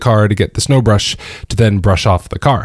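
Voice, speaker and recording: A man speaks with ordinary pitch variation. The recording is very clean with a silent background. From US South, Georgia. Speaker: podcast host. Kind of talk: personal storytelling monologue. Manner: halting, many fillers.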